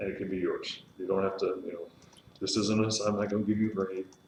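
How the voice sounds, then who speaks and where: There is audible room echo and noticeable background noise. A man with a fairly low voice speaks at a fairly quick pace. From Texas, Austin. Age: 30s. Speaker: pastor teaching a leadership class. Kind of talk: lecture. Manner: fast.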